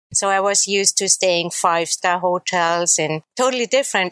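In a German accent, a woman speaks at a moderate pace and medium pitch with ordinary pitch variation. The sound is dry and close, with no echo. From Austria, Salzburg. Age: 40s. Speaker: traveler. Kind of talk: interview.

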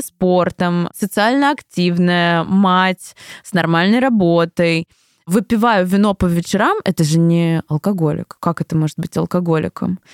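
Speaking at a fairly slow pace, a woman with an unremarkable speaking voice and medium pitch shows big swings in loudness. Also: dry, close sound with no echo. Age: 20s. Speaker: creative producer. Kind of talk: interview testimony.

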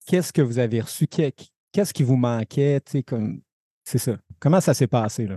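With a Quebec accent, a man speaks at a moderate pace and medium pitch in a dark, mellow tone with lively intonation, the sound dry and close with no echo over a quiet background. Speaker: podcast co-host. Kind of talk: casual interview.

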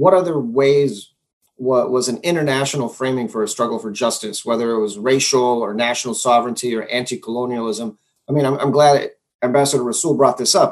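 Here a man speaks at a fairly quick pace in a medium pitch. His pitch variation is ordinary, an ordinary speaking voice. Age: 40s. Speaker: moderator of online panel. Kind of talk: moderated panel discussion.

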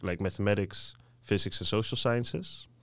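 With a Dutch accent, a man speaks at a moderate pace in a fairly low voice with ordinary pitch variation, on a very clean recording with a silent background. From southern Netherlands, 's-Hertogenbosch. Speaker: master's student. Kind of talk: casual interview.

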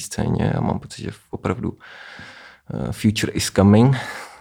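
A man talks with a dark, mellow tone and vocal fry. His pitch variation is ordinary. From Czech Republic, Vysočina region. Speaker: electronic musician. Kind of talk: casual interview. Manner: hesitant, many fillers.

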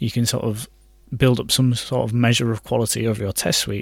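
With a British accent, the speaker talks fairly quickly in a monotone, flat way on a very clean recording with a silent background. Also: man. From UK. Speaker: software developer. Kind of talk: casual chat.

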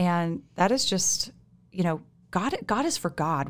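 A woman with a plain, everyday voice speaks at a fairly low pitch and a fairly slow pace on a very clean recording with a silent background. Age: 30s. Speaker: church member sharing testimony. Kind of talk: testimony. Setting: studio.

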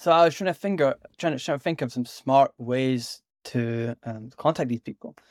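A man with a Scottish accent speaks at a medium pitch with ordinary pitch variation, recorded dry and close with no echo against a silent background in a very clean recording. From Scotland. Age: 20s. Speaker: startup founder and software builder. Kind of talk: casual interview chat. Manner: fast, many repetitions and fillers.

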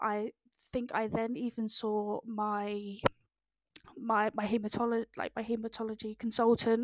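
A woman's fairly high voice holds a flat, monotone intonation. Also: fairly slow pace, dry, close sound with no echo. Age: 20s. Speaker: cancer survivor and patient advocate. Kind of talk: interview testimony. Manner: halting, many fillers.

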